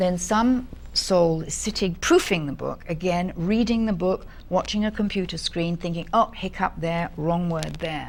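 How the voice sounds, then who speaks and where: Here is an ordinary speaking voice at a fairly slow pace. The pitch variation is ordinary. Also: woman, fairly low pitch for a woman. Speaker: audiobook narrator. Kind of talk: interview answer.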